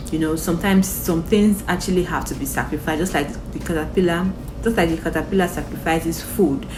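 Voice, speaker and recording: Over noticeable background noise and audible room echo, a woman talks at a fairly quick pace. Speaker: motivational vlogger. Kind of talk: motivational talk to camera. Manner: casual, filler-heavy.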